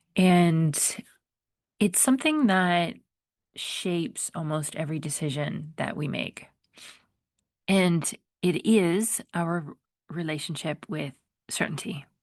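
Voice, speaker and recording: A woman speaks at a very slow pace and a fairly low pitch, with long, frequent pauses. The background is quiet. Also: ordinary pitch variation. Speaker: podcast host and life coach. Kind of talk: solo podcast monologue. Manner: casual, conversational.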